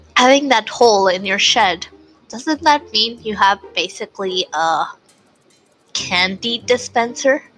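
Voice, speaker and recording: Over music in the background, a woman talks at a fairly slow pace. Her fairly high voice has lively intonation. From Puerto Rico. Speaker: tabletop game player. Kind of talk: tabletop role-play session.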